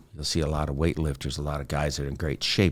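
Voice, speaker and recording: A man talks with vocal fry. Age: 60s. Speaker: mental health advocate. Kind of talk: personal testimony. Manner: conversational with hesitations.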